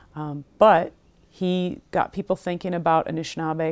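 Speaking with an American accent, a woman has a very deep, low pitch and monotone, flat intonation. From US Midwest. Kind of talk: interview. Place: studio. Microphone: lapel.

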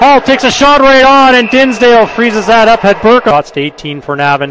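A man with an extremely high pitch and very wide pitch swings, dry with no echo, over noticeable background noise. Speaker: hockey play-by-play announcer. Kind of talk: live sports commentary. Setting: arena broadcast, game in progress. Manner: fast, clipped play-by-play; excitable on goals, rising pitch. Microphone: headset.

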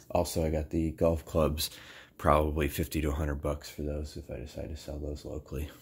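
Somewhat breathy, a man speaks at a very deep, low pitch with monotone, flat intonation. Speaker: reseller. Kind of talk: casual vlog chat. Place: home room. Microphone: phone near.

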